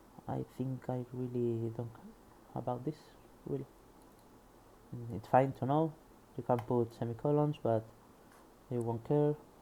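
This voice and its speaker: A man with a Spanish accent speaks at a fairly slow pace, taking long, frequent pauses. His medium-pitched voice has a dark, mellow tone. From Spain. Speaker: programmer studying a book. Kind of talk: reading aloud with commentary. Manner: halting.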